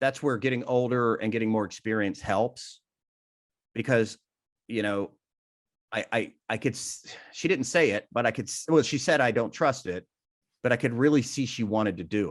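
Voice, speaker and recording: A man with a medium pitch speaks at a moderate pace, taking long, frequent pauses. His pitch varies in an ordinary way over a quiet background. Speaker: benefit auctioneer. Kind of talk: interview.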